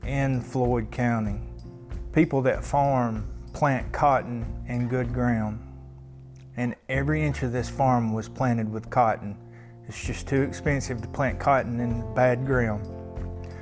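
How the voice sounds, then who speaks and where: The words arrive very slowly. Behind them, music plays. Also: man. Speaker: real estate agent or auction presenter showing the farm. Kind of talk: promotional property walkthrough, casual talk to camera.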